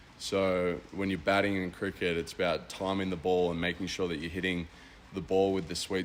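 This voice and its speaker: A man's very deep, low voice in an Australian accent, monotone and flat, at a moderate pace. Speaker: college baseball player. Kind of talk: radio interview.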